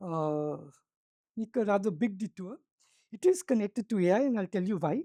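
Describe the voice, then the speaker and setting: With a Tamil accent, a woman speaks at a moderate pace in a dark, mellow tone with lively intonation and long, frequent pauses, in a dry, close sound with no echo. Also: medium pitch for a woman. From South India. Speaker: business school professor. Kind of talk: workshop panel talk.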